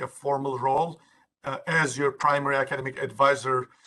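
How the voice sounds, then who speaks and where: A man's fairly high voice with a strong Turkish accent, bright and sharp in tone, at a moderate pace. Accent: Turkish accent, thick. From Turkey. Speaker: university administrator. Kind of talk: workshop presentation. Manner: halting, many fillers.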